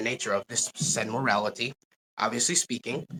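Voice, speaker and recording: Recorded with a dry, close sound and no echo, a man talks at a fairly quick pace in a bright, sharp tone. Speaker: online debater. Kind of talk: debate. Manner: halting, stuttering.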